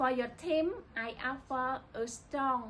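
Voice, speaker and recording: In a Cambodian accent, a woman with a high voice speaks at a very slow pace with ordinary pitch variation. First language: Khmer. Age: 20s. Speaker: livestock management student. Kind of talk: scripted internship application video.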